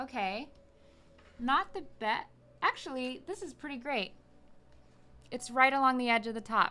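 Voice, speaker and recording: A woman speaks in a raised, projected voice, high in pitch with a bright, sharp tone and lively intonation. Her moderate pace is broken by long, frequent pauses, and her loudness swings widely. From South Texas border town. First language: Spanish. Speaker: LEGO streamer. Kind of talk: casual live stream chat while building. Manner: animated.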